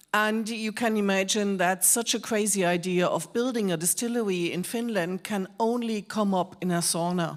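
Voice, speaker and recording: A woman with a strong German accent speaks at a moderate pace and medium pitch, with fairly even intonation and hardly any pauses, in a very clean recording with a silent background. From Germany. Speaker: whisky expert, presenter. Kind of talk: live presentation to an audience.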